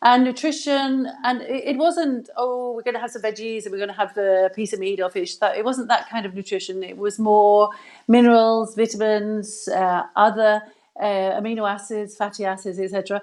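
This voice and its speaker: This woman has an English accent and a fairly high pitch. She talks at a moderate pace. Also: ordinary pitch variation. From England. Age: 60s. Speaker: health expert, former physiotherapist. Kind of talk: live video interview. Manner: hesitant, many fillers.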